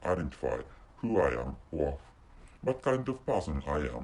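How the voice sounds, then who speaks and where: A man speaks with a Japanese accent and vocal fry. His pitch swings very widely. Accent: non-native English, Japanese. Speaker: podcaster. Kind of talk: solo podcast monologue. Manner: halting, many repetitions and restarts.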